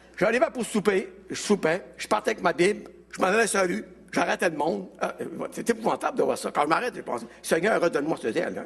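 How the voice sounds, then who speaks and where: Speaking with a Quebec accent, a man talks at a fairly quick pace in a high pitch, with lively intonation. His loudness swings widely, and there is noticeable background noise. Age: 70s. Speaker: evangelist. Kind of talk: testimony.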